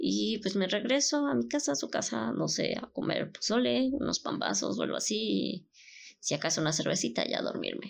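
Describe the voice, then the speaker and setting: Moving at a moderate pace, a woman talks with a Mexican accent. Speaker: podcast host. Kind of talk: casual monologue.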